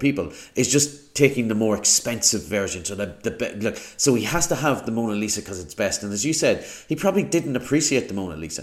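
Delivery is very fast. Very wide swings run through the pitch. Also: man. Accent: Irish. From Ireland. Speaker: podcast host. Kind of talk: casual chat.

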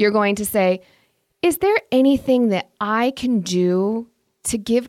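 A woman with a Midwestern American accent speaks at a medium pitch and a fairly slow pace, with an animated tone and ordinary pitch variation. The recording is very clean with a silent background and a dry, close sound with no echo. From US Midwest, Indiana. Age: middle-aged. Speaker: podcast host and social worker. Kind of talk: advice podcast monologue.

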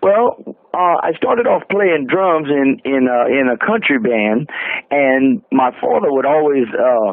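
A man with a medium pitch speaks at a fairly slow pace with lively intonation and few pauses.

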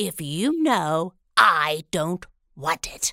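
A woman's voice swings very widely in pitch on a very clean recording with a silent background and a dry, close sound with no echo. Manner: brisk, scolding.

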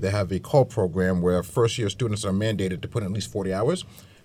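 The speaker talks at a very fast pace with an American accent, sounding somewhat breathy. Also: man. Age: 50s. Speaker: chamber of commerce director and business consultant. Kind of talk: radio roundtable discussion. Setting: radio studio.

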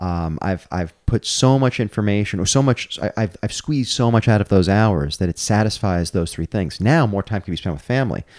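With hardly any pauses, a man with an American accent talks at a fairly quick pace and fairly low pitch in an unremarkable speaking voice, captured in a very clean recording with a silent background. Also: lively intonation, dry, close sound with no echo. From New York, Brooklyn. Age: 40s. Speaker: comedian and gutter business owner. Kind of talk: casual chat.

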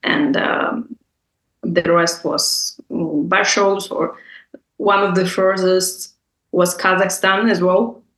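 A woman speaks very slowly with a Russian accent. Her pitch is medium. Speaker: bar entrepreneur and public speaker. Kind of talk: interview.

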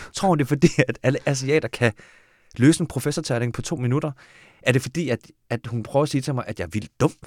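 Speech comes at a very fast pace, broken by long, frequent pauses. The recording is very clean, with a silent background. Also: man, medium pitch for a man, ordinary pitch variation, dry, close sound with no echo. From Denmark (adopted from Korea). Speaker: screenwriter. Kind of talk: casual chat.

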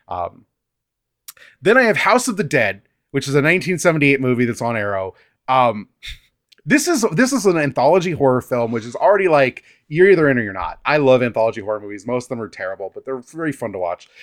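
Very fast and fairly high-pitched, a man's voice jumps through very wide pitch swings and big swings in loudness, recorded dry and close with no echo on a very clean track with a silent background. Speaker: film podcaster. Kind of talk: casual chat.

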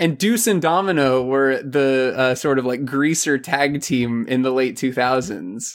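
This man has an ordinary speaking voice at a medium pitch, with ordinary pitch variation. He talks at a fairly slow pace with hardly any pauses and very even loudness. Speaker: K-pop fan guest. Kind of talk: casual chat.

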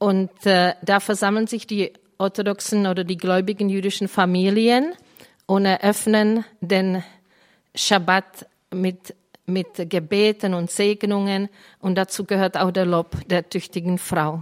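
In a Czech accent, a woman speaks at a very slow pace and medium pitch. Her intonation is monotone and flat, and the recording is very clean, with a silent background. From Czech Republic. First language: Czech (speaking German). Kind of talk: Bible teaching to a live group.

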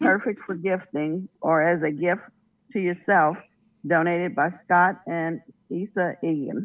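With an ordinary speaking voice, a woman of fairly low pitch talks fairly slowly with fairly even intonation. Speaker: auction item reader. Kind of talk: reading aloud item descriptions.

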